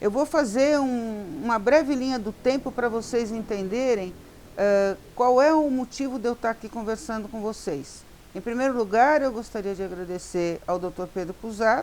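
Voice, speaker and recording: With an ordinary speaking voice, a woman talks at a moderate pace, her fairly high pitch carried by lively intonation. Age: 60s. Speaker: social worker and educator. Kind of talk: talk to law students.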